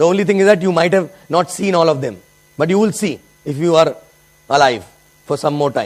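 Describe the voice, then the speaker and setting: Over noticeable background noise, a high-pitched man with an Indian accent talks at a fairly quick pace with ordinary pitch variation. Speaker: network marketing leader. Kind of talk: motivational talk. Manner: animated.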